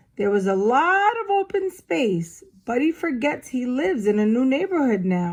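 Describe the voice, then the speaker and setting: This woman uses a put-on character voice, high-pitched with very wide pitch swings. She talks at a moderate pace with hardly any pauses. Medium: read story.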